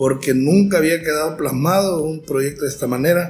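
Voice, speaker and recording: A man with a fairly high pitch speaks at a moderate pace with fairly even intonation. Audible room echo surrounds his voice. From Honduras, San Pedro Sula. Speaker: folk dance director. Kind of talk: interview. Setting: mobile recording set.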